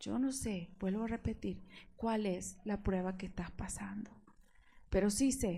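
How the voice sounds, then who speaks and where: At a fairly slow pace, a woman speaks in a fairly high pitch with a dark, mellow, somewhat breathy tone and ordinary pitch variation. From Argentina. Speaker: preacher. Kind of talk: sermon.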